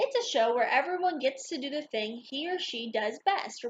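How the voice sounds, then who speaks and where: A woman puts on a character voice, talking high at a moderate pace. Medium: read story.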